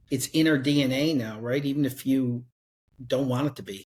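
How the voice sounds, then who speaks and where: Speaking at a fairly quick pace in a Newfoundland accent, the voice is somewhat breathy with fairly even intonation. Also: man. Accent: Newfoundland accent, heard as Irish. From Newfoundland, Canada. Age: 50s. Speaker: sales author. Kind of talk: casual chat.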